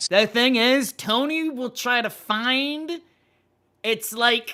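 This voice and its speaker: A man uses a raised, projected voice with a bright, sharp tone and ordinary pitch variation. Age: 30s. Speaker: streamer reacting to comedy videos. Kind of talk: casual reaction commentary. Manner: halting, self-correcting.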